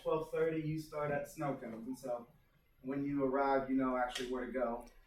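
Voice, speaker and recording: The intonation stays fairly even while noticeable background noise is present. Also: man. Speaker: school staff presenting field day. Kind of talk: meeting presentation. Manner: fast.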